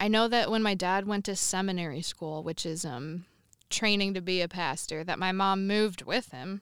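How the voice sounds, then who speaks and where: Recorded very cleanly over a silent background, a woman with a plain, everyday voice speaks at a moderate pace, medium in pitch, with ordinary pitch variation. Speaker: helper telling parents' story. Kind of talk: casual chat in a game segment.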